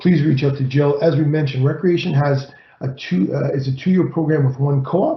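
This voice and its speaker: A fairly quick, somewhat breathy man's voice pitched fairly high. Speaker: college employer relations consultant and rugby coach. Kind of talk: presentation. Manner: fast.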